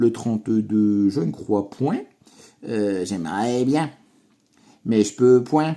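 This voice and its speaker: A man with a dark, mellow tone speaks at a very slow pace, his intonation lively. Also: very clean recording, silent background. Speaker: scratch-card YouTuber. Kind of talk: casual chat. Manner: animated.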